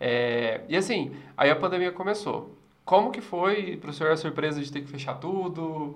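A man with a fairly high pitch and lively intonation at a moderate pace, with audible room echo. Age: 20s. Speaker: podcast host. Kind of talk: casual interview.

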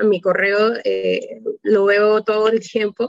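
At a fairly high pitch, a woman with an unremarkable speaking voice keeps her intonation fairly even. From Panama. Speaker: electrical engineer. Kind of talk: radio interview.

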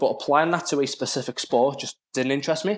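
With a quiet background, a man talks fairly quickly in an ordinary speaking voice pitched fairly high. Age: 20s. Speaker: personal trainer. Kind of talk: casual interview.

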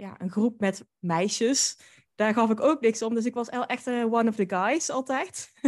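At a moderate pace and fairly high pitch, a woman speaks in an unremarkable speaking voice against a quiet background. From Netherlands, North Brabant (Drunen near Den Bosch). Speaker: podcast host and boudoir photographer. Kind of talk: interview.

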